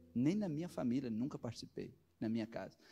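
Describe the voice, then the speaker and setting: This man talks at a fairly quick pace with a dark, mellow tone. The recording is very clean, with a silent background. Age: 40s. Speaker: pastor. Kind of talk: sermon.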